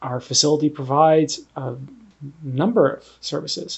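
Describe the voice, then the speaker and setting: A man with an unremarkable speaking voice talks at a fairly high pitch, his intonation fairly even. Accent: Canadian. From Canada, Ontario. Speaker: analytical chemist. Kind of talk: interview.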